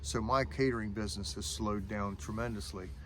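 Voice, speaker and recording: A man with a fairly low pitch shows vocal fry at a moderate pace. Room echo is audible. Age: 50s. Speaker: caterer and firewood cutter. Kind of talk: casual vlog talk. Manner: halting.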